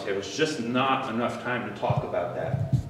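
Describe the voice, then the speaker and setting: Noticeable background noise and audible echo from the room surround a man as he talks. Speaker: presenter. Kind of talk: lecture. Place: meeting room. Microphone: camera far.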